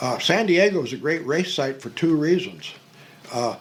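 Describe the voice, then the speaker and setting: A man with an American accent at a fairly slow pace, ordinary pitch variation, and noticeable background noise. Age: 80s+. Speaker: museum volunteer and memorabilia collector. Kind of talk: casual interview. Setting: hydroplane museum.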